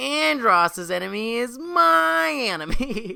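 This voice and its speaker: A man's put-on character voice, high-pitched, with lively intonation at a fairly slow pace. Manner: cocky, game-character delivery.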